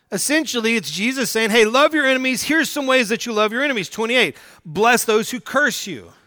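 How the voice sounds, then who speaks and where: A man with an American accent uses a raised, projected voice with an extremely high pitch and a bright, sharp tone at a fairly quick pace, in a very clean recording with a silent background. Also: ordinary pitch variation. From US South, Oklahoma. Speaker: pastor. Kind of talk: sermon.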